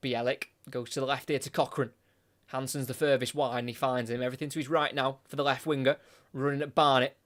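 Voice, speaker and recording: On a very clean recording with a silent background, a man with a British accent speaks very fast at medium pitch in a monotone, flat delivery. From Britain. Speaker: football commentator. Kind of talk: live commentary.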